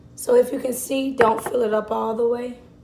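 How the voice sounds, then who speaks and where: A woman speaks in a high voice at a fairly slow pace. Noticeable background noise runs underneath. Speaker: mom vlogger. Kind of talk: tutorial.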